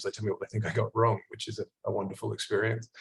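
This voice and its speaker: A somewhat breathy man with an Australian accent. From Australia (Perth). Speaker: clinical psychologist. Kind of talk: online workshop presentation. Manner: fast; halting, many fillers and repeats.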